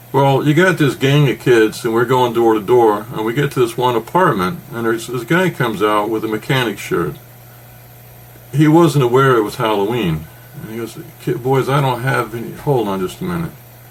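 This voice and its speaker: This man talks at a moderate pace, his medium-pitched voice carrying lively intonation. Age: 60s. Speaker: podcast co-host. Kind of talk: casual chat. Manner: animated.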